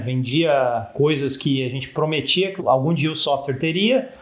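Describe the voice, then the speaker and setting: A man with lively intonation, audible room echo around him. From Brazil, São Paulo state (Campinas). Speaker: startup founder, engineer. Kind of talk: interview.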